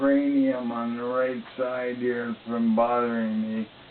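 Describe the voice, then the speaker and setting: A man's monotone, flat delivery against noticeable background noise. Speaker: ALS patient video diarist. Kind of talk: personal video diary. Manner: halting, many fillers.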